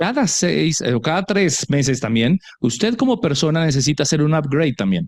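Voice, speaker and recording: Very fast speech with vocal fry and very wide pitch swings. Loudness stays very even, and the sound is dry and close with no echo. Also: man, fairly high pitch for a man. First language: Spanish. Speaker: interpreter. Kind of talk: live interpretation into Spanish.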